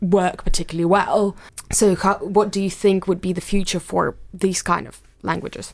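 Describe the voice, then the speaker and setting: A woman's voice with vocal fry, fairly even intonation and a moderate pace, against a quiet background. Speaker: podcast co-host, research student. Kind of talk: interview.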